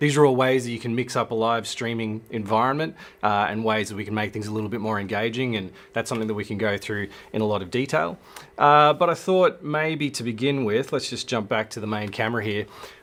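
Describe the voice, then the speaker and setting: A man with an Australian accent speaks at a fairly quick pace. His pitch shows ordinary variation. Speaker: filmmaker and livestream host. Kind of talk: live stream talk. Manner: fast.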